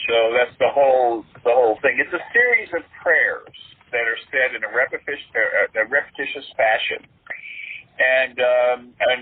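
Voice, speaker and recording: A man speaks at a moderate pace amid noticeable background noise. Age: 60s. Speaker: exorcist clergyman. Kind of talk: interview. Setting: podcast interview. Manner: halting, many fillers.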